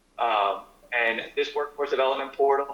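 Noticeable background noise fills the clip as this man talks at a moderate pace. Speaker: nonprofit representative. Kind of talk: presentation to town council. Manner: halting.

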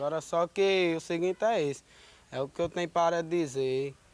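Speaking at a moderate pace, a man uses a fairly high pitch with fairly even intonation, and the sound is dry with no echo. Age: 20s. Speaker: accused young man; interviewee. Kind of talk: street interview. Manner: halting. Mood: earnest, defensive. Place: street. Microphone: handheld.

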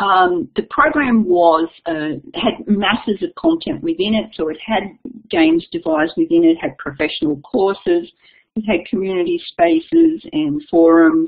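An Australian accent from a woman, moderate in pace, with very wide pitch swings. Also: medium pitch for a woman. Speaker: education consultant and keynote speaker. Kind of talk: webinar keynote presentation. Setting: online webinar.

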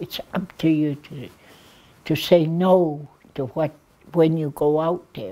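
A woman speaks very slowly at a very deep, low pitch with a dark, mellow tone, ordinary pitch variation, big swings in loudness, and long, frequent pauses. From Blood Reserve, Alberta, Canada. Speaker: addictions worker, elder. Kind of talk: interview answer. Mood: earnest, caring. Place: studio.

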